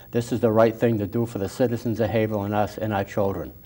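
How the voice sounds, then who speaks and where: Speaking with an American accent, the man has a medium pitch and fairly even intonation. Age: 70s. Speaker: city council candidate, retired policeman. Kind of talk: interview. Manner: halting, many fillers and repeats.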